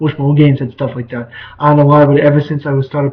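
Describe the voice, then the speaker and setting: This man speaks at a very fast pace in a fairly high voice. His delivery is somewhat breathy. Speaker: vlogger. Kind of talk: casual talk to camera.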